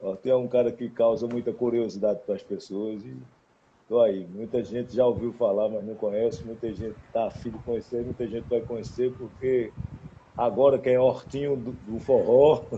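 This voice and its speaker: A man with a strong northeastern Brazilian accent speaks at a moderate pace and medium pitch, his intonation fairly even but with big swings in loudness. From Caruaru, Pernambuco, Brazil. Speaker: singer-songwriter. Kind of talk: casual interview chat.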